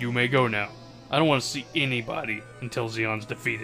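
With clear music playing in the background, a man rushes through a put-on character voice at a very fast pace and a medium pitch. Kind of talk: comic game dub reading. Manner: serious, cold, solemn.

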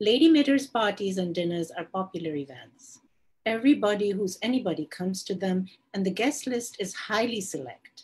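Her pitch swings very widely as a woman talks at a moderate pace. Her voice is somewhat breathy. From India. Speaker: novelist. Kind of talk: reading aloud. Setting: video call live stream.

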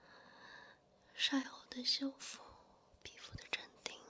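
A soft-spoken woman whispers at a very slow pace, her loudness swinging widely. Light background noise sits under her voice. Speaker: ASMR roleplay host. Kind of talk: soft-spoken ASMR roleplay. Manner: soft close ASMR whisper. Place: home room.

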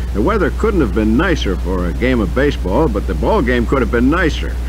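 Music plays in the background as a man with a very deep, low pitch talks in a monotone, flat intonation. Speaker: radio sportscaster. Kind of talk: radio sports news read. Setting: radio broadcast. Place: studio. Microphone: old recording.

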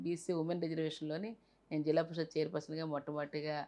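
A woman's very deep, low-pitched voice. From Visakhapatnam, coastal Andhra Pradesh, India. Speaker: politician, parliamentary candidate; politician, candidate. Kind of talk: interview. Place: home room. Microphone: lapel.

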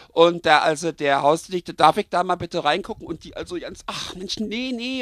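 In a very clean recording with a silent background, a man with a Berlin accent talks at a high pitch with lively intonation. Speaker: comedy storyteller. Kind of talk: comic story narration. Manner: casual, chatty.

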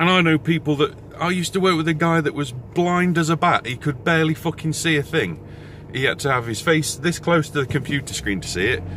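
Loud background noise surrounds a man talking fairly quickly in a dry sound with no echo. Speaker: vlogger. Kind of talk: casual vlog rant. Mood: exasperated ranting, frequent swearing. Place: car. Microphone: phone near.

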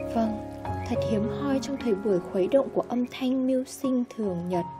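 With music in the background, a soft-spoken woman talks at a moderate pace. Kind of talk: literary essay reading.

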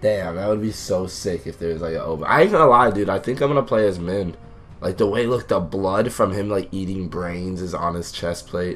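Music plays behind a man speaking at a fairly quick pace. His pitch is fairly low. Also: ordinary pitch variation. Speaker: gaming YouTuber. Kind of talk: casual gameplay commentary.

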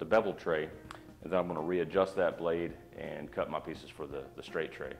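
The speaker talks at a fairly quick pace with ordinary pitch variation. Loudness swings widely, and faint music plays in the background. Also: man. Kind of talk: tutorial. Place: workshop. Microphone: camera far.

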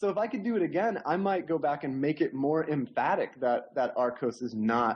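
This man has an unremarkable speaking voice. He talks at a fairly quick pace with ordinary pitch variation. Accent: American. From Oklahoma, US (Tulsa). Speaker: novelist and roboticist. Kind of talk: interview.

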